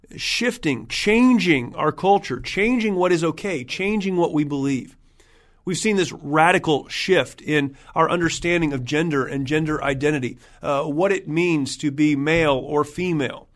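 Speaking with an American accent in an unremarkable speaking voice, a man keeps a fairly high pitch, a moderate pace and ordinary pitch variation against a quiet background. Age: 40s. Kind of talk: solo podcast monologue.

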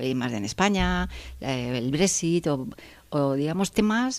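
A woman speaks at a very deep, low pitch with vocal fry. Her intonation is lively. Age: 50s. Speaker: engineer and factory director. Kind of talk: interview.

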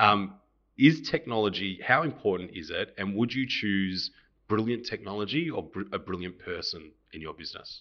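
Bright and sharp in tone, the speaker has an Australian accent, lively intonation, big swings in loudness and a moderate pace over a quiet background. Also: man, fairly low pitch for a man. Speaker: podcast host, accountant. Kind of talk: interview. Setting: office.

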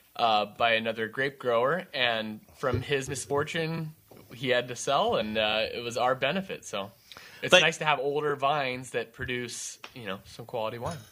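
A man with an American accent speaks at a moderate pace. His medium-pitched voice has a bright, sharp tone and ordinary pitch variation. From California. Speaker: winemaker.

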